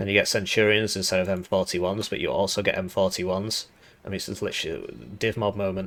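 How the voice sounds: Low-pitched and raspy with vocal fry, a man speaks at a fairly quick pace in a fairly bright tone with ordinary pitch variation.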